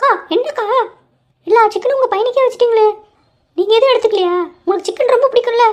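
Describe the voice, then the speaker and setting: A woman puts on a cartoonish character voice at an extremely high pitch. She speaks at a fairly quick pace with very even loudness. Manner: chatty, familiar.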